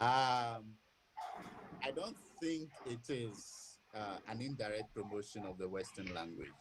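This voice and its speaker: A speaker with a Ghanaian accent talks at a fairly slow pace, with ordinary pitch variation and long, frequent pauses. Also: man, medium pitch for a man. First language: Ewe. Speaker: academic speaker. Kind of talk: webinar Q&A. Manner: hesitant, repeats words.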